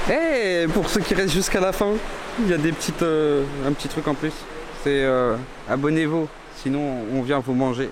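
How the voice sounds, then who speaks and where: The man's voice sits at a fairly high pitch with ordinary pitch variation and very even loudness, moving at a moderate pace with long, frequent pauses amid audible room echo and noticeable background noise. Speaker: travel vlogger. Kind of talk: casual vlog narration on location. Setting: inside a cave, outdoors.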